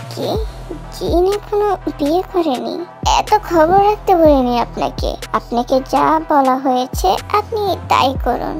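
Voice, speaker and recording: A woman uses a put-on character voice at a fairly slow pace. Clear music plays in the background. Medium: audio drama. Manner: bossy, cold.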